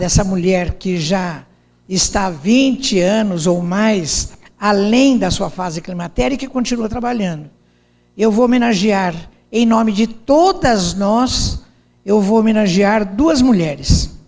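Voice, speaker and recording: A woman at a medium pitch, very slow pace and long, frequent pauses, with audible room echo. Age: 70s. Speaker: speaker. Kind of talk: lecture. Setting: stage with audience.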